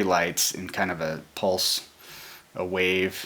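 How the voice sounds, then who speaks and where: Quiet yet bright and sharp in tone, a man speaks with a very deep, low pitch. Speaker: hobbyist hardware builder. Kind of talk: tutorial. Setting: at home. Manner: speaking quietly; hesitant, many fillers.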